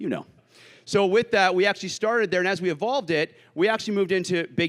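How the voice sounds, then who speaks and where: On a very clean recording with a silent background, a man talks at a very fast pace in an energetic tone. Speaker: tech sales executive. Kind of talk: sales pitch. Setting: stage with audience. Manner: loud; fast, energetic.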